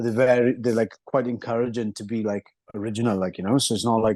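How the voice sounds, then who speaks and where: In a Welsh accent, a man with a medium-pitched voice talks very fast in a monotone, flat delivery, the sound dry and close with no echo. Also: quiet background. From Wales. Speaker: mixed martial arts fighter. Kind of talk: interview. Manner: casual, hesitant with fillers.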